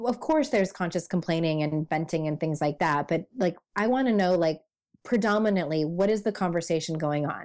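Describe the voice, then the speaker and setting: This woman has an unremarkable speaking voice, fairly low in pitch with ordinary pitch variation. She talks at a fairly quick pace with very even loudness. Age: 30s. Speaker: life coach and author. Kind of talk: interview.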